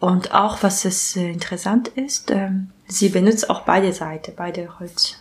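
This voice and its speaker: Over noticeable background noise, a woman with a Japanese accent talks at a fairly slow pace and medium pitch, with ordinary pitch variation. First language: Japanese (speaking German). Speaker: illustrator and comic artist. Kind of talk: casual interview. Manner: halting, with many fillers.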